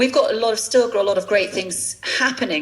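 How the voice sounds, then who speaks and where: Against noticeable background noise, a woman speaks with a southern English accent. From England. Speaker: fashion entrepreneur. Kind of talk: interview. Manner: halting.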